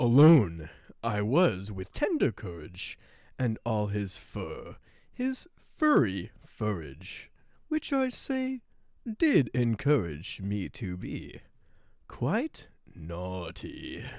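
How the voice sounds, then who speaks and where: In a put-on character voice with a low pitch, the speaker goes at a very slow pace on a very clean recording with a silent background. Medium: role play. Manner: rhyming, sing-song.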